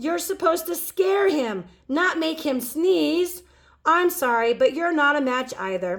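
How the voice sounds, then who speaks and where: A woman's high-pitched, put-on character voice at a fairly slow pace. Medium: read story. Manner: formal, instructive, measured.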